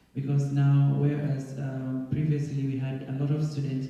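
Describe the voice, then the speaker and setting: A man with an East African accent speaks at a fairly slow pace and a fairly high pitch in a flat monotone. Audible room echo and noticeable background noise come through. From Tanzania. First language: Swahili. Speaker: school alumnus and guest speaker. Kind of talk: presentation with Q&A.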